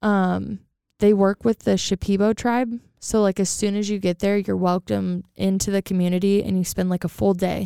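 A woman's medium-pitched voice, dark and mellow yet clear and smooth, with vocal fry and little pitch movement at a moderate pace, in a very clean, dry, close recording with no echo and a silent background

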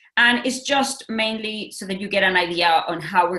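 Noticeable background noise behind a woman at medium pitch with ordinary pitch variation. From Mexico. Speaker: educator. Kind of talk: webinar presentation.

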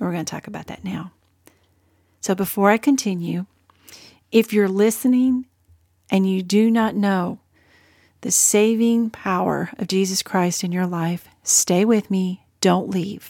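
A woman's warm, dark, mellow tone at medium pitch, with fairly even intonation, a fairly slow pace and long, frequent pauses, dry and close with no echo on a very clean recording with a silent background. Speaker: podcast host. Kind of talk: faith-based solo podcast talk. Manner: warm, conversational, earnest.

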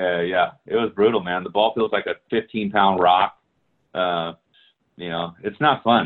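A man speaks in a normal speaking voice with a fairly low pitch. His pace is fairly slow and his intonation fairly even. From Hawaii and California. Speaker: former football player. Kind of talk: casual chat.

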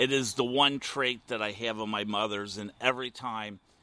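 Speaking with a Midwestern US accent, a man delivers his words at a fairly slow pace in a bright, sharp tone with ordinary pitch variation. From US Midwest; Ohio. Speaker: podcast host, former radio host. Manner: talkative, animated, flirty.

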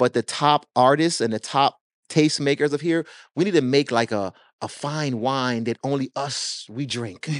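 Against a quiet background, a man speaks at a moderate pace and a fairly high pitch with ordinary pitch variation, in a dry, close sound with no echo. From Jamaica, moved to US at six. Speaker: record label owner and music marketing consultant. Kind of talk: casual interview chat. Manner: animated.

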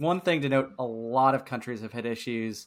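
A man speaks at a fairly quick pace in a plain, everyday voice at medium pitch, in a very clean recording with a silent background. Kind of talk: casual banter.

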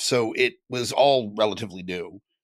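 A man with an American accent talks with fairly even intonation. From Southern California. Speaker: podcaster and podcast network leader. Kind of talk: interview.

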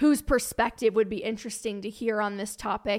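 An unremarkable speaking voice with an American accent moves at a fairly quick pace, its intonation fairly even. The recording is very clean, with a silent background. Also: woman. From Cincinnati area (northern Kentucky suburb), US Midwest. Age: 20s. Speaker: personal finance podcaster and writer. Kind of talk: casual interview chat.

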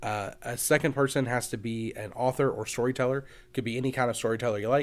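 A man with a Kentucky accent at a very fast pace, fairly even intonation, on a very clean recording with a silent background. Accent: Kentucky Southern. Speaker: podcast host. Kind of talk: casual interview.

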